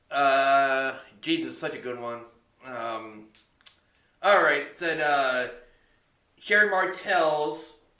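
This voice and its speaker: With audible room echo around him, a man with a fairly high pitch speaks at a very slow pace, with lively intonation and long, frequent pauses. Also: big swings in loudness. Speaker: podcast co-host. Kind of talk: casual chat. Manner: halting.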